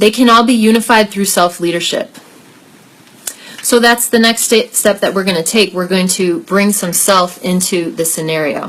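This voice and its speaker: Against noticeable background noise, a woman speaks at a moderate pace and medium pitch, with ordinary pitch variation. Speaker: life coach and workshop leader. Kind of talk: online group workshop. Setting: live video stream.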